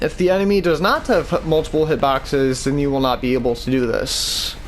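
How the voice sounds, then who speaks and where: The loudness stays very even throughout, over noticeable background noise. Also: man, fairly high pitch for a man. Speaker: gaming video creator. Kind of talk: gameplay tutorial. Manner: slow; casual, halting.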